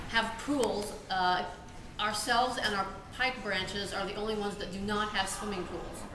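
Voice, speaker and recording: A woman's monotone, flat voice at a moderate pace over noticeable background noise. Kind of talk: interview answer. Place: office.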